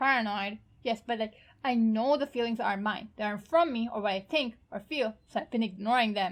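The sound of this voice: The speaker uses an unforced reading voice. Pitch varies in an ordinary way.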